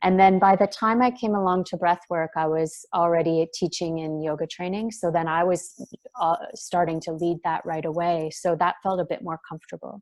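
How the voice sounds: A woman speaks softly with fairly low pitch, fairly even intonation and a slightly mellow tone. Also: moderate pace.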